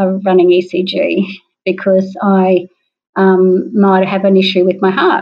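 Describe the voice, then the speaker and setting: Here a woman speaks with an Australian accent. Her pitch is medium. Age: 60s. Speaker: parkrunner. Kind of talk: interview.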